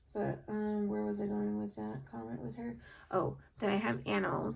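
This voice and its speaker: Speaking with lively intonation, a woman uses a very deep, low pitch. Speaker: nurse doing graduate coursework. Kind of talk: casual study-with-me vlog monologue. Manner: rambling with many fillers.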